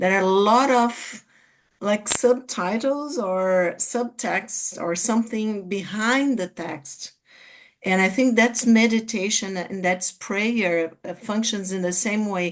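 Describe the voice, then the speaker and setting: With a Portuguese accent, the speaker goes at a very slow pace with ordinary pitch variation. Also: woman. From Brazil. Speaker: psychiatrist and study group speaker. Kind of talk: group discussion. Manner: halting, many fillers.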